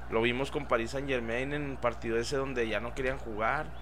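With audible room echo, a man speaks at a moderate pace. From Ciudad Juárez, Mexico. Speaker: podcast co-host. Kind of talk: casual chat.

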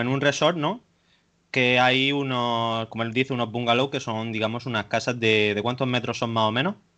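Intonation stays fairly even as this man speaks at a medium pitch. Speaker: podcast host. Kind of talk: casual interview. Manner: halting.

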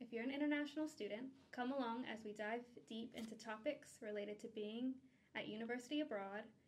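An unremarkable speaking voice from a woman with an American accent, fairly high in pitch, fairly quick, with fairly even intonation. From United States. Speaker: charity staff worker, podcast host. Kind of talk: casual chat; scripted intro. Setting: studio recording.

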